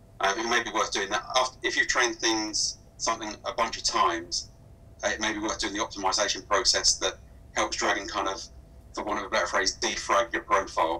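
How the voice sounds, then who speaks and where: Here a man speaks with a southern English accent. His pace is fairly quick. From southern England. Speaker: speech recognition software specialist; guest. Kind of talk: webinar Q&A. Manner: halting, many fillers. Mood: calm, explanatory. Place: home room. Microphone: video call.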